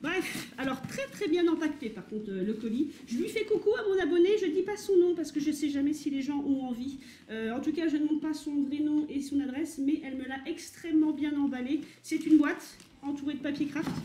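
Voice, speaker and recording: In a room with audible echo, a woman with a dark, mellow tone and a high pitch talks at a fairly quick pace with ordinary pitch variation. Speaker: vintage fashion YouTuber. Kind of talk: casual unboxing vlog. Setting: home kitchen.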